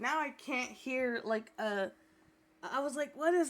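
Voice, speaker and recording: A woman's high voice, lively in intonation, at a fairly slow pace. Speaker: video game streamer. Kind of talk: casual chat. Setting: livestream. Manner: soft-spoken. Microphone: too quiet.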